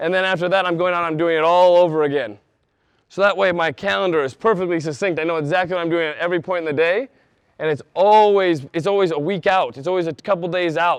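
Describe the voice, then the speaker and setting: Talking at a very fast pace, a man with a high voice sounds animated. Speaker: sales trainer. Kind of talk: conference presentation with role play. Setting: stage with audience. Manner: fast when passionate.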